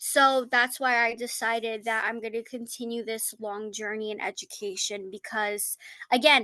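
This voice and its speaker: A woman with a fairly high pitch and a bright, sharp tone speaks at a moderate pace. Her intonation is monotone and flat, with big swings in loudness. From United States, Turkish family. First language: Turkish. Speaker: graduate student. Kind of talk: class discussion. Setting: podcast recording of a class.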